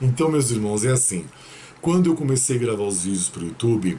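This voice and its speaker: A man at a medium pitch and a moderate pace. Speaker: tarot reader and numerologist. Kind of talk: tarot reading video monologue. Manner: serious.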